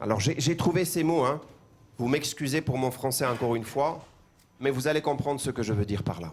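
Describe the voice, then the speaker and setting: A man with an Armenian accent talks at a fairly quick pace. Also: medium pitch for a man, ordinary pitch variation. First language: Armenian (speaking French). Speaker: pastor. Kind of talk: sermon. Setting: church. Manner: halting, repeats words.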